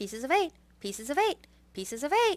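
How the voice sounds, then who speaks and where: Using a put-on character voice, a woman speaks fairly quickly at a high pitch with very wide pitch swings. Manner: very fast, squawky repetition.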